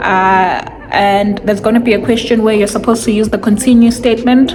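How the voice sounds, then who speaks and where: A woman speaks in a fairly high pitch with monotone, flat intonation. Noticeable background noise and audible room echo fill the recording. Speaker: coding student vlogger. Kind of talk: casual tutorial vlog. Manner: casual, hesitant with fillers.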